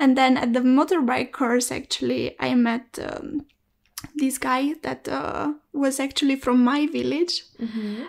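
With a Romanian accent, a woman talks at a fairly slow pace, her high pitch kept in fairly even intonation. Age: 20s. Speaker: student. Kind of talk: casual chat.

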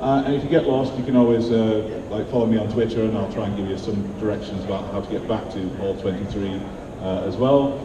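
A man talks at a fairly quick pace, fairly low in pitch with fairly even intonation. He pauses little, and clear background noise is audible.

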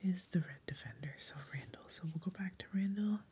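Soft-spoken, relaxed speech at a fairly slow pace, with light background noise. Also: woman. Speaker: ASMR host and board game player; ASMR host. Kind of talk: soft-spoken ASMR board game playthrough. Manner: soft-spoken, casual, relaxed. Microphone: studio mic.

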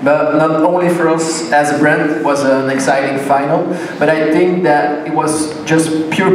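With audible room echo and light background noise, a man speaks at a moderate pace in a fairly high, monotone voice with flat intonation. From Belgium. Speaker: sponsor representative. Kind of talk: ceremony speech. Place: hall.

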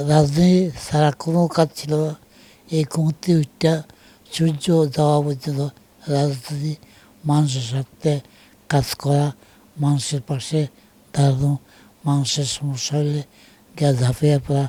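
A man's voice, fairly high in pitch, has a dark, mellow tone and a somewhat breathy quality, delivered in a flat monotone with a dry, close sound and no echo. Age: 70s. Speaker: retired politician. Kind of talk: interview. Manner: halting.

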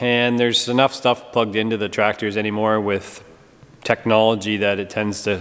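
Fairly even intonation at a moderate pace. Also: man. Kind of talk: casual vlog chat. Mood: relaxed, chatty. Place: workshop. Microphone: phone near.

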